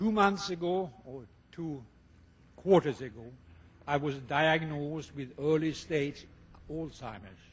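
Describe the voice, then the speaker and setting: With a Swedish accent, the voice is somewhat breathy and moves at a fairly slow pace, with long, frequent pauses, big swings in loudness and lively intonation. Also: man, fairly high pitch for a man. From Sweden. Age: 70s. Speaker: retired tennis player, hall of fame inductee. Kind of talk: acceptance speech.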